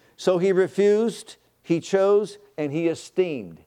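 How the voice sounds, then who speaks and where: A man with a dark, mellow tone. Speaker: pastor. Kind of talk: sermon. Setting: church. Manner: animated, exclamatory preacher in full flow, leading call-and-response; rhythmic, repetitive, fervent praise with hallelujahs.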